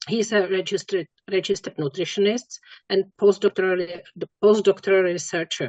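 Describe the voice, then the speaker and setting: Speaking with a non-native accent, a woman talks at a fairly quick pace with a medium pitch and fairly even intonation. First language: not English. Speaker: webinar moderator. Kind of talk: speaker introduction. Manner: halting.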